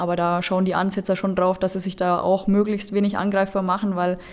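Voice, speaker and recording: A woman talks in a medium pitch, keeping a moderate pace. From Lower Franconia, Bavaria. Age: 20s. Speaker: football referee. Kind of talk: interview.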